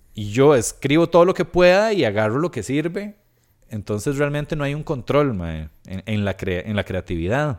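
A man speaks in a Costa Rican accent at a moderate pace and fairly high pitch. His pitch swings very widely, and the recording is very clean with a silent background. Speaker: stand-up comedian and podcaster. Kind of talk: casual interview chat.

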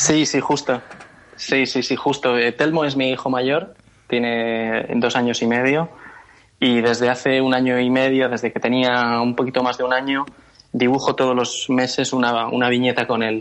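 At a moderate pace, a man speaks at medium pitch with monotone, flat intonation and very even loudness. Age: 30s. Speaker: cartoonist and advertising creative. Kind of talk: interview. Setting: phone call.

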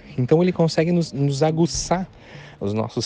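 With noticeable background noise behind him, a man talks in lively intonation. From Santa Catarina interior, Brazil. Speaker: wedding photographer. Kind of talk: interview. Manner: halting.

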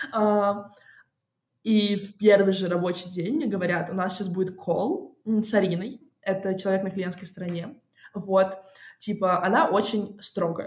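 A woman's medium-pitched voice sounds somewhat breathy, with fairly even intonation. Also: fairly slow pace. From Moscow, Russia. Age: 20s. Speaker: music industry PR specialist. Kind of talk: interview. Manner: casual; hesitant.

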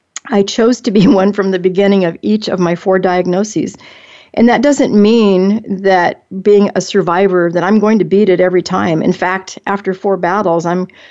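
A dark, mellow voice with fairly even intonation is heard against a quiet background. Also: woman. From Alaska. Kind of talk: monologue; casual chat.

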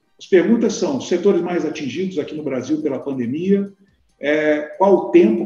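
Lively intonation carries the speech, delivered at a moderate pace. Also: man. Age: 40s. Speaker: industry federation president, business owner. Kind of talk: live-streamed discussion, moderating. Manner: halting, with fillers.

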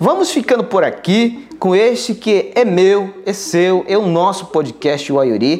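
A man speaks at a fairly slow pace in a high voice with lively intonation, over noticeable background noise. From Alto Rio Negro, Amazonas, Brazil. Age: 20s. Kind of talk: interview. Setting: in town, away from home village.

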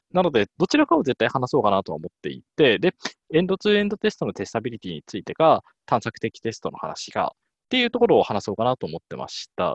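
A man talks at a very fast pace, with big swings in loudness. The sound is dry and close, with no echo. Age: 30s. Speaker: test engineer. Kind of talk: casual chat.

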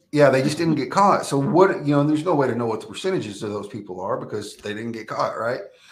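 In an American accent, a man with a fairly high pitch talks at a very fast pace with hardly any pauses, very wide pitch swings, big swings in loudness and audible room echo. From Texas. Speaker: former prisoner turned prison minister. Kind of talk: testimony.

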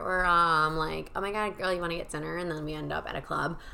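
Audible room echo surrounds a woman with a fairly low pitch. She speaks at a fairly quick pace in a bright, sharp tone. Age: 20s. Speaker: podcast host. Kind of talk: casual monologue. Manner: animated.

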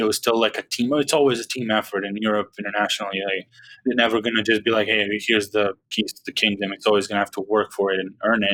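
Rushing at a very fast pace, a man with a Serbian accent speaks at a fairly low pitch in a bright, sharp tone. His intonation is monotone and flat, and the sound is dry and close with no echo. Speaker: basketball podcaster. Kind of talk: casual chat.

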